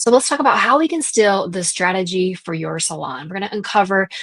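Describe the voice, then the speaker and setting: This woman speaks with a Southern US accent at a medium pitch. The sound is dry and close, with no echo. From US South. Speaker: salon business coach. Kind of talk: casual podcast chat.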